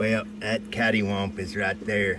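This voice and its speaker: A man with an American accent talks over noticeable background noise. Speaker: precious metals hobbyist. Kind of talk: casual chat. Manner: halting.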